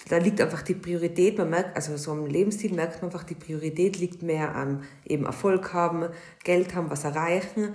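A woman with a plain, everyday voice speaks at a moderate pace, her pitch fairly low and her intonation fairly even. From Austria. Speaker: podcast co-host, hairdresser. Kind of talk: casual chat.

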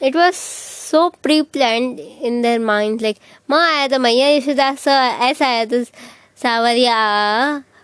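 A woman with an Indian accent, high pitch, ordinary pitch variation and a very slow pace. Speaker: vlogger. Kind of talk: casual storytelling. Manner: animated.

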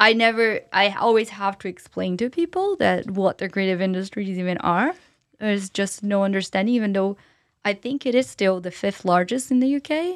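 In a Portuguese accent, a woman speaks at a moderate pace with a medium pitch and ordinary pitch variation on a very clean recording with a silent background. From Brazil, São Paulo. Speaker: entrepreneur and public speaker. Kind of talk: interview conversation.

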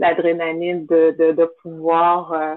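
A woman talks at a fairly low pitch. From Montreal, Quebec, of Haitian parents. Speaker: event entrepreneur. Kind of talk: interview. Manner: hesitant, many fillers.

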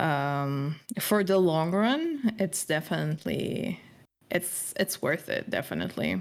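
Very slow speech from a woman, recorded very cleanly against a silent background. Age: 20s. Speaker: streamer sharing mental health struggles. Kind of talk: personal testimony in interview. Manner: hesitant, many fillers.

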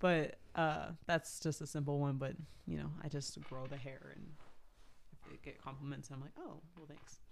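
A woman speaks at a very deep, low pitch with vocal fry and fairly even intonation. Her pace is moderate, and her loudness swings widely. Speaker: podcast co-host. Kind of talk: casual chat. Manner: playful, jokey.

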